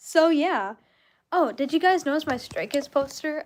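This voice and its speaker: A woman's high-pitched voice. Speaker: vlogger. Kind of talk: casual livestream chat. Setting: livestream from bedroom. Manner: casual, filler-heavy.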